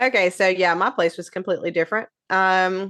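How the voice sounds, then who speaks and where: Against a quiet background, a woman with a Southern US accent speaks fairly quickly at medium pitch. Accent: Southern twang. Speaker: podcast co-host. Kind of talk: casual chat.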